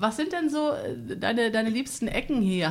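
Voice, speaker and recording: At a very fast pace, a woman talks at a fairly high pitch. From Minden-Lübbecke district, Germany. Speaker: podcast host. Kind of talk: interview. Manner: animated.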